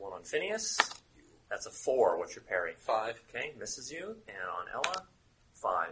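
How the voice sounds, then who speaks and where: A man's voice with big swings in loudness over noticeable background noise. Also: moderate pace. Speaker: game master running a tabletop RPG. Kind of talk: tabletop roleplaying game session narration. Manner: halting, with frequent fillers.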